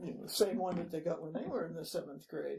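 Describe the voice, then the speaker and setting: A woman's medium-pitched, somewhat breathy voice with an American accent and lively intonation. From Massachusetts, Newton. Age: 80s+. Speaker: long-time local resident. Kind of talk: oral history interview. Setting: city hall interview.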